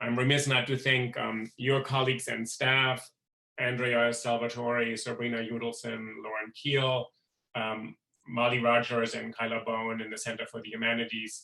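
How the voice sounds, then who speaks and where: A man with a European accent speaks at a moderate pace in a bright, sharp tone with monotone, flat intonation. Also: medium pitch for a man. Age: middle-aged. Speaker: professor and event host. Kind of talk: event introduction. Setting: video call.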